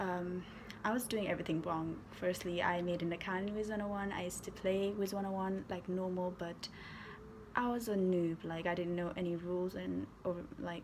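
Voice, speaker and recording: A woman speaks with a Nepali accent and monotone, flat intonation. Room echo is audible. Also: medium pitch for a woman, moderate pace. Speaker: gaming YouTuber. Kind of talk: casual storytime vlog.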